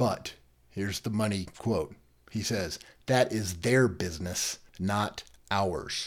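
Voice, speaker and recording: Here is a man's fairly low voice with ordinary pitch variation, an unremarkable speaking voice. The recording is very clean, with a silent background. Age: 50s. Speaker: legal podcast host. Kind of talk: solo commentary podcast.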